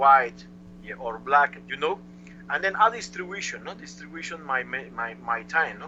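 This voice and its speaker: Noticeable background noise sits behind the speech. The speaker has a Cuban accent and a moderate pace. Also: man. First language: Spanish. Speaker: chess master. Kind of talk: interview answer. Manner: lively.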